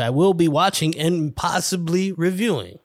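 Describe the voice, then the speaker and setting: A man with a New York accent talks at a fairly slow pace in an animated tone, recorded very cleanly against a silent background. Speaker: podcast host. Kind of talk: casual solo monologue. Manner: rambling.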